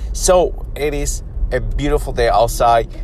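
A man is speaking over noticeable background noise. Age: 40s. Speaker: fitness and fasting podcast host. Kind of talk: solo podcast monologue. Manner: casual, halting with many fillers.

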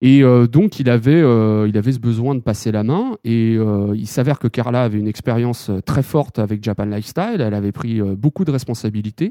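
Talking at a moderate pace with hardly any pauses, a man has a dark, mellow tone, a medium pitch and ordinary pitch variation. The sound is dry and close with no echo, against a quiet background. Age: 30s. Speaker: manga magazine editor-in-chief. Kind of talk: interview.

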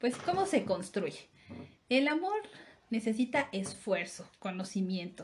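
A woman talks at a very slow pace with long, frequent pauses, her pitch medium and its variation ordinary. Noticeable background noise sits behind her. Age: 30s. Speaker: podcast co-host. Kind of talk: casual chat.

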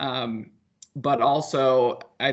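This is a man with a normal speaking voice. His pitch sits in the middle range, with ordinary variation. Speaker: podcast co-host. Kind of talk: casual sports podcast chat. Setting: remote, recording from Colorado.

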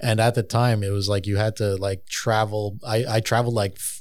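In a Montreal accent, a man talks at a fairly low pitch with monotone, flat intonation on a very clean recording with a silent background. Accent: Montreal English (Canadian). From Montreal, Canada. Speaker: tattoo artist. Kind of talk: casual chat.

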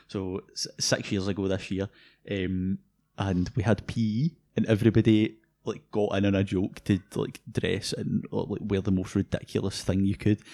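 In a Scottish accent, a man with a fairly low pitch and a dark, mellow tone speaks at a moderate pace in a monotone, flat intonation, the sound dry and close with no echo. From Scotland, North Lanarkshire. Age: 20s. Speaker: tech podcast co-host, university student. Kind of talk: casual chat.

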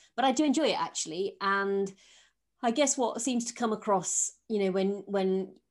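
A woman with a Yorkshire accent talks fairly quickly at a medium pitch with ordinary pitch variation. The background is quiet. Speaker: podcast host, former civil servant. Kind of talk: interview.

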